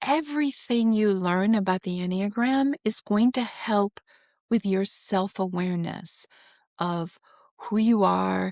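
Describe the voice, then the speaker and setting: With a normal speaking voice at medium pitch, a woman talks fairly slowly with ordinary pitch variation in a very clean recording that has a silent background and a dry, close sound with no echo. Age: 60s. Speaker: financial planner and Enneagram student. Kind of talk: casual interview conversation. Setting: podcast interview. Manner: many filler words, conversational.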